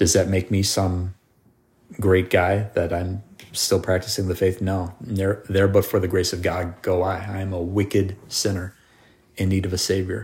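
A somewhat breathy man speaks at a moderate pace in a very deep, low pitch, his intonation flat and monotone. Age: 40s. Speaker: podcast host. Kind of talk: casual chat.

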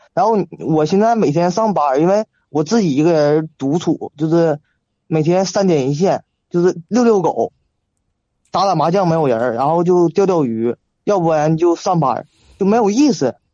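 Pausing long and often, a man with a high pitch and lively intonation speaks at a moderate pace. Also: very even loudness. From Shenyang, northeast China. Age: 20s. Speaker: caller seeking relationship advice. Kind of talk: call-in conversation.

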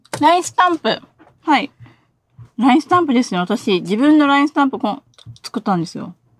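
High in pitch, a woman speaks at a fairly quick pace, with long, frequent pauses, big swings in loudness and very wide pitch swings, in a dry, close sound with no echo. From Okinawa. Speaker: designer. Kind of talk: casual interview. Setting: live stream.

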